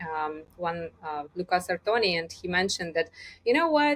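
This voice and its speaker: Speaking at a moderate pace with a non-native accent, a woman uses lively intonation at a medium pitch, on a very clean recording with a silent background. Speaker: communication coach. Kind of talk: interview.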